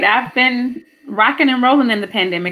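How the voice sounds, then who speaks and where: A woman talks at a fairly quick pace with ordinary pitch variation. Hers is an unremarkable speaking voice. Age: 30s. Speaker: hospital administrator. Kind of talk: casual chat. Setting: video call.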